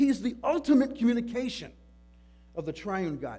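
Over music in the background, a man speaks loudly at a moderate pace. His intonation is lively. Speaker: pastor. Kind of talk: sermon. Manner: halting.

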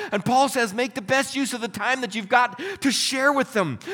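Over noticeable background noise, a man uses a raised, projected voice. He moves at a fairly quick pace. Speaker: pastor. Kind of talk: sermon with prayers, a fervent closing prayer. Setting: church with congregation. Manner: earnest, heartfelt, pleading and reverent in prayer; warm, conversational, upbeat.

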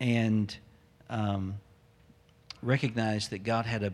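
This man has a Southern US accent and a fairly low pitch. He speaks at a fairly slow pace with monotone, flat intonation. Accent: Southern American. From US South, Memphis, Tennessee. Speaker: pastor. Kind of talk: sermon. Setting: church.

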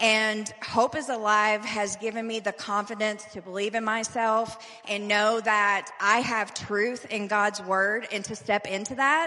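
A woman's fairly high, fairly evenly intoned voice at a fairly slow pace with hardly any pauses, over noticeable background noise. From Louisville, Kentucky. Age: 40s. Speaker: recovery program resident. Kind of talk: testimony. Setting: church service.

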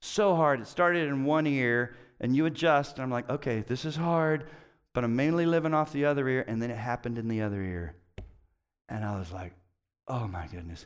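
A man's animated, medium-pitched voice with lively intonation at a fairly quick pace, in a very clean recording with a silent background. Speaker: pastor. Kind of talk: sermon. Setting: church.

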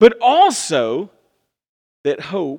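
Talking at a very slow pace, a man speaks in a Southern US accent. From US South. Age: 30s. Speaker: pastor. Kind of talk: sermon. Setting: church. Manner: animated.

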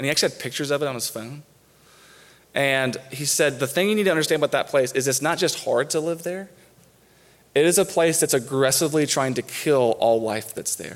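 This man has an unremarkable speaking voice, fairly high in pitch, moving at a fairly quick pace with ordinary pitch variation. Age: 30s. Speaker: campus minister, guest preacher. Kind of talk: sermon. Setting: church.

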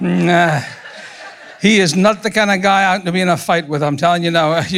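With a Scottish accent, a man speaks at a moderate pace in a high pitch with ordinary pitch variation against noticeable background noise. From Scotland. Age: 60s. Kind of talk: sermon. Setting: church with congregation.

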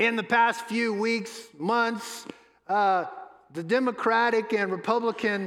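A man speaks at a fairly slow pace with fairly even intonation. Room echo is audible. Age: 60s. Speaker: pastor. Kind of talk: sermon.

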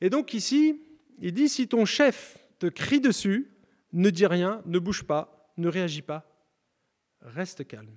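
The speaker goes at a very slow pace with long, frequent pauses and very wide pitch swings, in a dry, close sound with no echo on a very clean recording with a silent background. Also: man, high pitch for a man. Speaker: preacher. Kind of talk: sermon.

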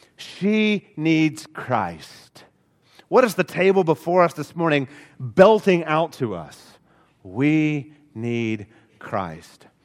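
On a very clean recording with a silent background, a man speaks very slowly at a fairly high pitch with very wide pitch swings. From Alabama. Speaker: pastor. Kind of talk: sermon.

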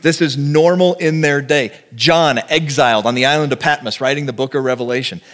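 A man with an American accent has a normal speaking voice, fairly high in pitch with ordinary pitch variation. He moves at a fairly quick pace with very even loudness and hardly any pauses. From Texas. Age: 40s. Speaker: pastor. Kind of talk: sermon.

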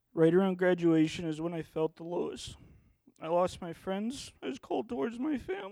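Here a man with a high pitch and a dark, mellow tone talks at a moderate pace with ordinary pitch variation. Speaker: church member giving baptism testimony. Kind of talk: testimony. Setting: church.

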